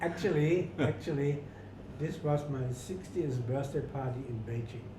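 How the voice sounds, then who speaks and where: A man's voice is fairly high, with ordinary pitch variation and a fairly slow pace. The recording has noticeable background noise and audible room echo. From rural Germany. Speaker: retired hotel manager. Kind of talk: interview. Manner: halting, repetitive.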